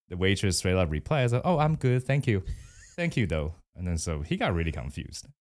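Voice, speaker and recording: A man's very deep, low voice in a Mandarin accent, fairly quick, with very wide pitch swings, on a very clean recording with a silent background. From Taiwan. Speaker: guest. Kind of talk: casual interview chat.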